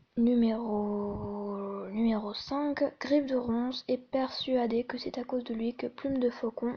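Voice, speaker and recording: Soft-spoken, very slow speech with monotone, flat intonation. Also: woman. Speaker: fan video creator. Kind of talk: casual fan trivia list reading. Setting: at home at night, others sleeping.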